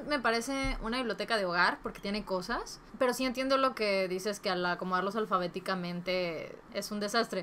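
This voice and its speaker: Talking at a fairly quick pace with hardly any pauses, a woman uses a medium pitch and ordinary pitch variation over light background noise. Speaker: book YouTuber. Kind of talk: casual vlog giving advice. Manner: Spanglish code-switching. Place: home room.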